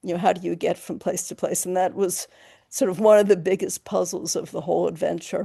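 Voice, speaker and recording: The speaker moves at a fairly quick pace over a quiet background. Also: woman. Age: 60s. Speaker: long-distance hiker rescued by helicopter. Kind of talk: interview storytelling. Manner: hesitant, many fillers.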